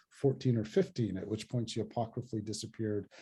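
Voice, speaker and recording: Against a quiet background, a man talks in a dark, mellow, somewhat breathy tone with fairly even intonation. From US, son of South Indian immigrants. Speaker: poet and professor. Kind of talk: author talk Q&A.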